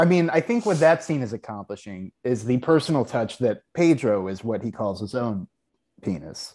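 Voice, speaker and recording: In a dark, mellow tone, a man with an American accent talks at a moderate pace. His pitch swings very widely, and the recording is very clean with a silent background. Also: medium pitch for a man. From Texas, Houston. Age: 30s. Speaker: TV writer and producer. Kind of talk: casual chat.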